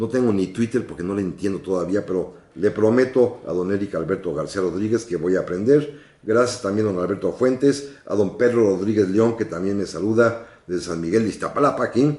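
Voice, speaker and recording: A man speaks fairly quickly at a fairly low pitch, with ordinary pitch variation. His tone is dark and mellow. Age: 60s. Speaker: radio host and historian. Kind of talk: radio history program. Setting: radio studio, live broadcast.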